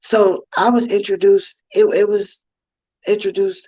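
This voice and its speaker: A woman speaks with a New York accent. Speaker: inspirational speaker and author. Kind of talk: personal testimony talk. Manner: casual, many fillers.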